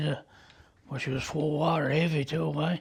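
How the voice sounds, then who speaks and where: A man's fairly high voice with vocal fry, at a moderate pace. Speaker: lighthouse keeper. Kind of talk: interview answer. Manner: casual, storytelling.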